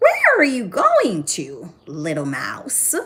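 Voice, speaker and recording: A put-on character voice with a fairly high pitch drags along at a very slow pace. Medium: read story.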